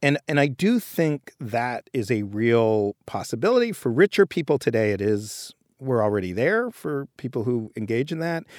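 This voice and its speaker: An ordinary speaking voice, a man with an American accent talks at a moderate pace and medium pitch with lively intonation, the sound dry and close with no echo on a very clean recording with a silent background. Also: hardly any pauses. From New York City. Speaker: journalist and author. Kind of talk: interview conversation.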